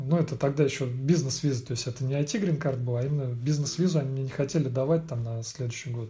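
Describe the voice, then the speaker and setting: A man talks very fast in a dark, mellow, somewhat breathy voice at medium pitch. The recording is very clean, with a silent background. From Russia, Vladimir and Moscow. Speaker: IT specialist. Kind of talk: casual interview conversation. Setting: late evening, Monday. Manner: hesitant, many fillers.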